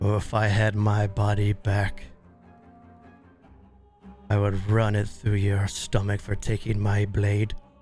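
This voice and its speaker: Over clear music in the background, a man in a put-on character voice with a menacing tone speaks fairly slowly at a fairly low pitch, flat and monotone, with long, frequent pauses. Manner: menacing, vengeful.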